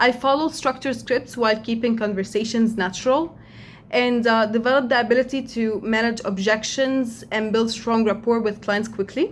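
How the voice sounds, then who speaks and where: A woman with an Arabic accent, fairly high in pitch, at a moderate pace, with fairly even intonation and very even loudness. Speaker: job applicant. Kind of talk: video introduction. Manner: hesitant, with fillers.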